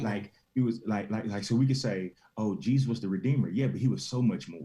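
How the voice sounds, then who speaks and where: A man's medium-pitched voice carries a dark, mellow tone and vocal fry, with ordinary pitch variation. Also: fairly quick pace. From Tennessee. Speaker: pastor, motivational speaker. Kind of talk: interview answer.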